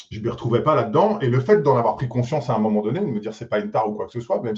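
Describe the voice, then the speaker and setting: At medium pitch, a man speaks with ordinary pitch variation. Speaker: tech executive (CTO). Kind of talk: panel discussion. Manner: loud.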